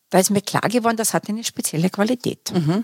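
Recorded with a dry, close sound and no echo, this is a normal speaking voice with ordinary pitch variation. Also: woman. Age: 60s. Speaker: career coach and academy founder. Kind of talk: interview. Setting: studio.

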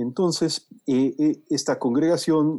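A man with a dark, mellow tone is heard in a dry, close sound with no echo. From Mexico City. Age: 50s. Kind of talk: casual interview.

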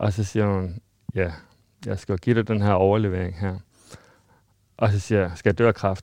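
A man with a fairly low pitch speaks in a flat monotone at a moderate pace, with long, frequent pauses. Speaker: person living with HIV. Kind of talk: interview testimony.

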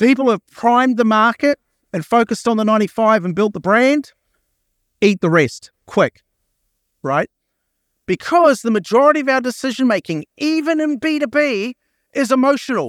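In an Australian accent, a man with an extremely high voice speaks at a moderate pace with an animated tone and lively intonation, leaving long, frequent pauses, the sound dry and close with no echo. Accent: noticeable non-American (Australian). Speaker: marketing executive and keynote speaker. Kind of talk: keynote talk. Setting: stage with audience. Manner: animated, casual.

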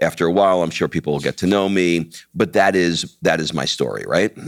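A very deep, low male voice with an American accent and vocal fry, fairly quick, dry and close with no echo. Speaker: podcast host and entrepreneur. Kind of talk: casual chat.

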